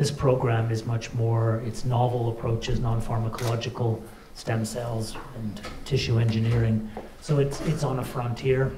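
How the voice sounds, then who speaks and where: Over noticeable background noise and audible room echo, a man talks at a moderate pace with a medium pitch and monotone, flat intonation. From Canada. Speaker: cardiologist and hospital director. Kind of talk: welcome speech. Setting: conference with audience.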